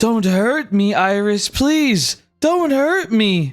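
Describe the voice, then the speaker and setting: Over music in the background, someone uses a put-on character voice at a fairly high pitch and a very slow pace. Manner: pleading, frightened.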